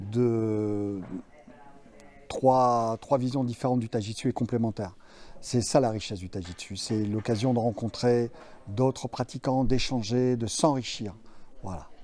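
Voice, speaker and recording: Music plays in the background. The speaker goes at a fairly slow pace with fairly even intonation and long, frequent pauses. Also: man. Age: 60s. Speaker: martial arts instructor. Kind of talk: interview. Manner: hesitant, many fillers.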